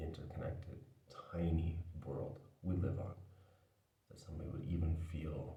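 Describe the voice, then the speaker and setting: A man with a very deep, low pitch, a dark, mellow tone, vocal fry and monotone, flat intonation, with big swings in loudness, long, frequent pauses and audible room echo. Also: moderate pace. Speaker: video essayist. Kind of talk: casual vlog monologue. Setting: indoors, talking to camera. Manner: quiet, not loud; careful enunciation.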